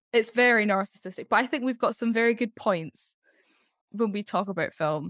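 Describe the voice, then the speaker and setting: The sound is dry and close, with no echo. A woman in an Edinburgh accent talks at a moderate pace with very wide pitch swings. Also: very clean recording, silent background. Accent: Scottish (Edinburgh). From Scotland, Edinburgh. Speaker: actress and singer. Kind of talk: casual chat.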